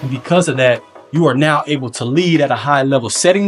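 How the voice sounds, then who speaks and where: Music plays behind a man speaking at a moderate pace. His pitch is fairly high for a man, with ordinary pitch variation. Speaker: motivational speaker. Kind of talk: motivational speech to a young audience. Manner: energetic, emphatic, playful asides.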